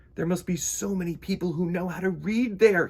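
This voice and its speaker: A man puts on a character voice at a high pitch. He talks at a fairly quick pace. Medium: read story.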